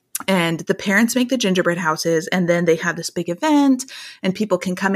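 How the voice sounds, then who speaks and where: Speaking at a fairly quick pace, a woman with an American accent and a medium pitch has an ordinary speaking voice, in a very clean recording with a silent background. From Iowa, US Midwest. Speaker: author and blogger. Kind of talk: casual interview chat.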